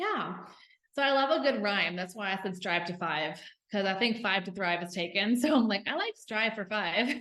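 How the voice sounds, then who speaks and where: With an enthusiastic tone and lively intonation, a woman speaks in a Southern US accent at a moderate pace and medium pitch. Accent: Southern US twang. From US South. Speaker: health and fitness coach. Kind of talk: podcast interview. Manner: enthusiastic, casual.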